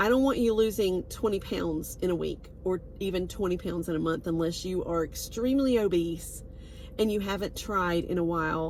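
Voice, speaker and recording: With a Southern US accent, a woman speaks at a medium pitch and moderate pace with ordinary pitch variation. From US South. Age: 60s. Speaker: wellness product seller. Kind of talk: casual vlog monologue. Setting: on a road trip. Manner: hesitant, many fillers.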